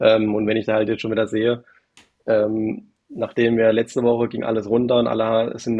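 A man's voice moves at a moderate speed. The pitch is medium for him. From Baden, south of Karlsruhe. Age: 30s. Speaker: private investor. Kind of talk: casual interview. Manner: hesitant, many fillers.

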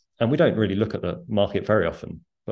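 A man speaking very fast with fairly even intonation, set against a quiet background. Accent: British. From UK. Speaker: author and former investment strategist. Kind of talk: casual interview.

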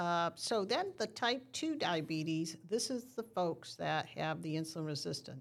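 In an ordinary speaking voice, a woman talks at a moderate pace and a fairly low pitch, with lively intonation, in a very clean recording with a silent background. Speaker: diabetes nurse educator. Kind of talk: educational explanation in casual interview.

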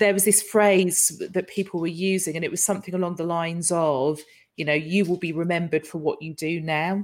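A woman's ordinary speaking voice, fairly low in pitch, fairly quick, with fairly even intonation. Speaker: live show host. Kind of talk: casual live chat. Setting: live stream online. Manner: chatty, jokey.

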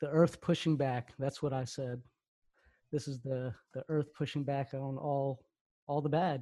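Monotone, flat intonation in a dark, mellow, somewhat breathy tone, with long, frequent pauses on a very clean recording with a silent background. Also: man, fairly high pitch for a man. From US, born in Pakistan, came at two. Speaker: podcast host. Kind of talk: casual chat.

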